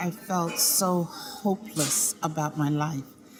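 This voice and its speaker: Over noticeable background noise, a woman with an American accent speaks at a very slow pace using lively intonation. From US South, rural Georgia. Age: 60s. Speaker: keynote speaker and singer. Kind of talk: interview testimony.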